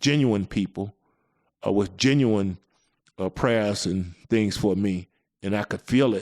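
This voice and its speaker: In a dry, close recording with no echo, a man with a Mississippi accent and fairly low pitch talks at a fairly slow pace with long, frequent pauses. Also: ordinary pitch variation. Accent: Southern US (Mississippi). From US South. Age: 60s. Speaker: podcast host. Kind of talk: testimony. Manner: halting.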